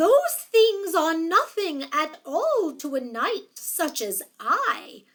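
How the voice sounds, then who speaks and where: A woman performs a put-on character voice at an extremely high pitch, with very wide pitch swings. She speaks at a very slow pace. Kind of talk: mock-archaic knightly speech. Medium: read story. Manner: gallant, modest.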